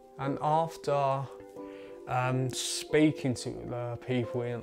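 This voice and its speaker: Clear music plays in the background. Over it, a man talks at a medium pitch. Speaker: documentary maker talking about stammering. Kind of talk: personal account in documentary. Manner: stammering speech. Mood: earnest, reflective. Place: home room. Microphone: lapel.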